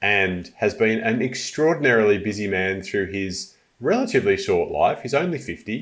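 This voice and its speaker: A man speaks in an ordinary speaking voice at a medium pitch. His pace is moderate and his intonation lively. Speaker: podcast host, well-being coach. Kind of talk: podcast interview, casual conversation.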